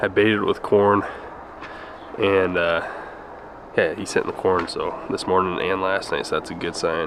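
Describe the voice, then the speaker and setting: Through noticeable background noise, a man with an American accent speaks at a moderate pace, leaving long, frequent pauses. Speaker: hunting vlogger. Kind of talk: casual vlog narration. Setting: outdoors and in a truck.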